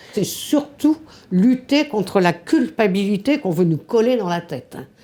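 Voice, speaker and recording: At a fairly slow pace, a woman with a medium pitch and a dark, mellow tone makes very wide pitch swings. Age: 70s. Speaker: feminist activist. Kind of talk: interview testimony.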